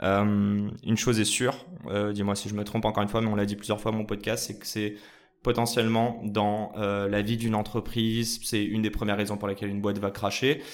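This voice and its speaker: A man's fairly low voice at a fairly quick pace. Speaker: podcast host. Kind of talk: casual interview. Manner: animated.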